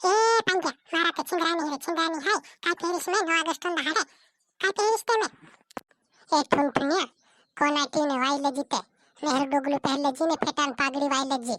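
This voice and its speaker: A woman puts on a cartoonish character voice. Her pitch is high. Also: moderate pace. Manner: chatty, excited.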